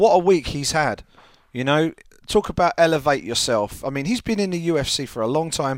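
In an English accent, a man with a fairly high pitch talks at a moderate pace with lively intonation. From England. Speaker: MMA journalist. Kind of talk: casual chat.

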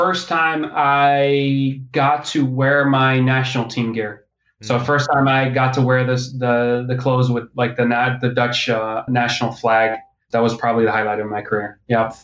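Using an unremarkable speaking voice, a man talks at a moderate pace and medium pitch with fairly even intonation. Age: 20s. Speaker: strength and conditioning coach. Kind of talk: casual interview. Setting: phone or remote call.

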